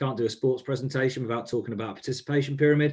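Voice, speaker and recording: Talking at a very fast pace, a man with a New Zealand accent has a fairly high pitch and a somewhat breathy sound. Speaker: grant funding advisor. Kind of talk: webinar presentation.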